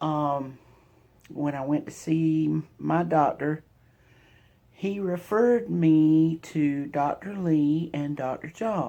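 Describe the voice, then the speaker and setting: A woman with a Southern US accent and a very deep, low pitch speaks at a very slow pace with ordinary pitch variation against a quiet background. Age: 50s. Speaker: vlogger sharing cancer journey. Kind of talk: personal testimony vlog. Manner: halting, with fillers. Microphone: phone mic.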